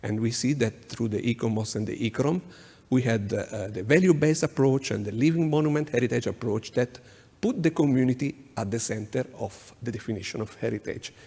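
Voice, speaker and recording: With an Italian accent, a man speaks at a fairly quick pace in a medium, somewhat breathy voice with ordinary pitch variation. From Italy. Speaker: urban planning consultant. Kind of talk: conference presentation. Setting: conference workshop. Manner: halting, many fillers.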